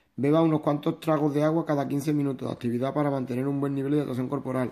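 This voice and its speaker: On a very clean recording with a silent background, a man talks at a very fast pace in a fairly high pitch with monotone, flat intonation. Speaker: naturopath and nutrition product distributor. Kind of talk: informal presentation / training talk. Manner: halting, with repetitions.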